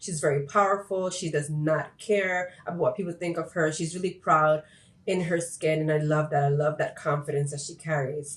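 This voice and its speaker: A woman speaks at a fairly quick pace with a fairly low pitch and fairly even intonation. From Puerto Rico until 7, then raised in mainland US. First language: Spanish. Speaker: YouTuber. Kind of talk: casual vlog talk to camera.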